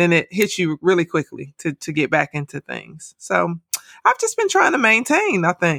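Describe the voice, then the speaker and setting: A woman with an American accent speaks at a moderate pace in a fairly low pitch. The recording is very clean and dry, close with no echo and a silent background. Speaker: podcast host, educator. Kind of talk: casual chat.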